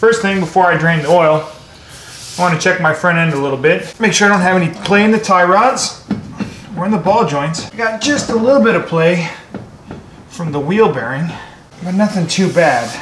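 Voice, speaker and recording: A high-pitched man at a moderate pace, with long, frequent pauses, audible room echo and light background noise. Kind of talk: casual vlog tutorial. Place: garage. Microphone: phone near.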